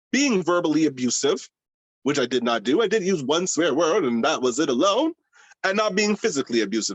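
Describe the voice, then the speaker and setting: A man's fairly high voice, passionate in tone, with very wide pitch swings. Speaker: drag queen. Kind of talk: interview. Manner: loud.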